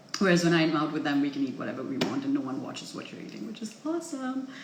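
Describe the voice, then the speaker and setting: Ordinary pitch variation from a woman, with audible room echo. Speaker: vlogger. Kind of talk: casual vlog chat. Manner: chipper and chirpy.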